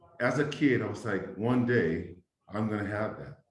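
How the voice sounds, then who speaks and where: A man speaks at a fairly slow pace in a fairly low voice. There is audible room echo. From New Zealand (South Auckland), then Hawaii from age 12. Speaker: entrepreneur, former elected official. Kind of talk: interview.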